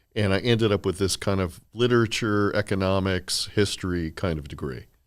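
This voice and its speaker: On a very clean recording with a silent background, a man with an American accent and an ordinary speaking voice talks at a fairly quick pace, his fairly low pitch showing ordinary variation. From Miami, Florida. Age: 60s. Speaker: healthcare attorney. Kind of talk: casual interview chat.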